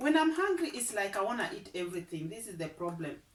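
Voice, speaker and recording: Over noticeable background noise, a woman speaks at medium pitch with very wide pitch swings. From East Africa. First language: an African language. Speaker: vlogger. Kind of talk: casual vlog chat. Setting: at home. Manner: halting, repeats words.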